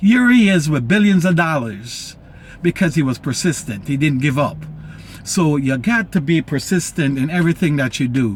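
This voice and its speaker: Over music in the background, a man with a fairly high pitch talks at a moderate pace. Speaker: motivational vlogger and travel business promoter. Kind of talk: motivational talk to camera. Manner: excited, animated; stutters when excited.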